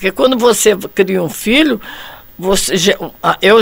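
Noticeable background noise sits behind the voice. A woman talks at a medium pitch and a fairly slow pace. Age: 80s+. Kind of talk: casual discussion.

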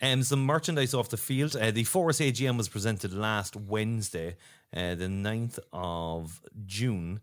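In a Cork accent, a man speaks with lively intonation at a fairly low pitch and a moderate pace, in a very clean recording with a silent background. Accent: Cork Irish. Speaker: podcast host and football fan. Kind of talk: casual chat podcast.

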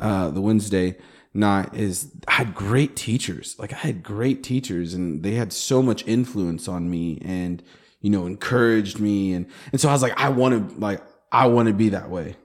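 At a moderate pace, a man speaks in a plain, everyday voice with a fairly low pitch and ordinary pitch variation, on a very clean recording with a silent background. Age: 30s. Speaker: pastor. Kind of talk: casual chat.

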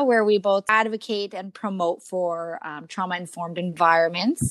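Recorded very cleanly against a silent background with a dry, close sound and no echo, a woman has a plain, everyday voice, a moderate pace and ordinary pitch variation. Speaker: podcast host. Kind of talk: interview. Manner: warm, emotional.

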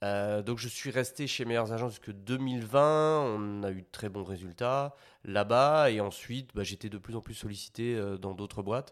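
A man with a medium-pitched voice talks at a fairly slow pace with ordinary pitch variation, recorded very cleanly against a silent background. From Belgium. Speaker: sales manager. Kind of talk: interview. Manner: halting, many fillers and repetitions.

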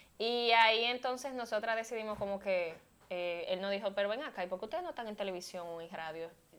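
Using an ordinary speaking voice, a woman talks at a medium pitch and a fairly quick pace with ordinary pitch variation. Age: 20s. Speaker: model and communicator, former beauty queen. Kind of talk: casual chat.

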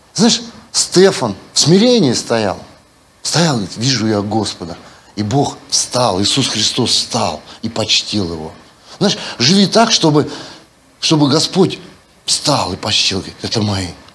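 A man at medium pitch with very wide pitch swings, a fairly slow pace and long, frequent pauses, amid audible room echo and noticeable background noise. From Siberia, Russia. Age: 50s. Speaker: pastor. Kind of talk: sermon. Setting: church. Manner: animated.

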